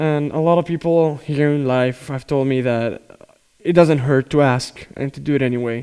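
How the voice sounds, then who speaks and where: The voice has a Spanish accent and a dark, mellow tone. The pace is moderate. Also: man. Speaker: drummer and YouTuber. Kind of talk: casual talk to camera. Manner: unscripted, hesitant with fillers.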